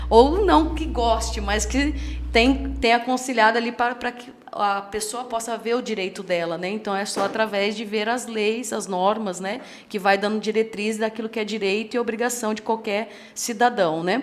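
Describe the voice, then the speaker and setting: A woman speaks at a moderate pace in a fairly high voice. Her intonation stays fairly even, with vocal fry. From Limeira, São Paulo interior, Brazil, raised by gaúcho family. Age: 30s. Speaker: pastor and lawyer. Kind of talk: podcast interview. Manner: halting, with self-corrections.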